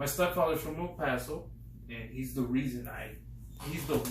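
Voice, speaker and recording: A man with an American accent talks with long, frequent pauses, in a room with audible echo and noticeable background noise. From Midland, West Texas. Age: 20s. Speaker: window tint business owner. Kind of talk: interview. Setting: office.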